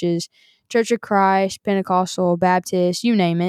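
A woman speaks with a Southern US accent at a medium pitch and fairly even intonation. The sound is dry and close, with no echo. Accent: Southern American. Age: 20s. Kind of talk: devotional monologue.

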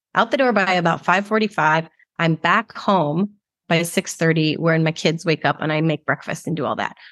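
A woman with an unremarkable speaking voice and fairly low pitch talks at a moderate pace with ordinary pitch variation, against a quiet background and a dry, close sound with no echo. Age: 40s. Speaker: alcohol-free life coach, podcast host. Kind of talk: solo coaching monologue.

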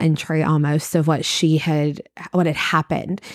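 At a fairly slow pace, a woman with a Kentucky accent speaks in a fairly low, monotone, flat voice. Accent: Kentucky Southern US. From US, Kentucky. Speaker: preschool teacher. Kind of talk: casual chat.

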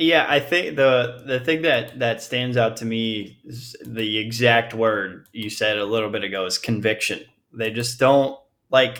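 Speaking fairly slowly, a man uses an unremarkable speaking voice at medium pitch with ordinary pitch variation. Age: 20s. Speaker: baseball fan, podcast guest. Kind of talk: casual chat.

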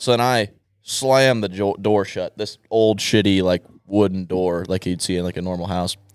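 A man's unremarkable speaking voice, fairly low in pitch, at a moderate pace with ordinary pitch variation. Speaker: podcast guest. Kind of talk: casual chat. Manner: joking, crude.

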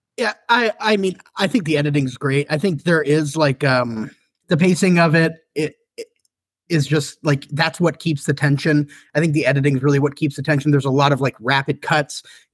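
The speech moves at a fairly quick pace and sounds somewhat breathy, with ordinary pitch variation and a dry, close sound with no echo. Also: man, fairly high pitch for a man. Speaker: novelist and screenwriter. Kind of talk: casual podcast chat.

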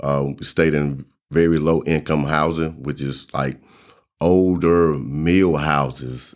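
A man with a Southern US accent talks at a very slow pace. His pitch is very deep and low, and his intonation stays monotone and flat. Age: 40s. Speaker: entrepreneur, formerly incarcerated. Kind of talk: testimony.

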